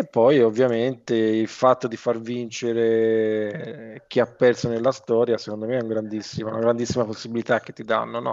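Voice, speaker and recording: Over a quiet background, a man at a medium pitch talks at a moderate pace with hardly any pauses, monotone and flat in intonation but with big swings in loudness. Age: 50s. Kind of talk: casual chat.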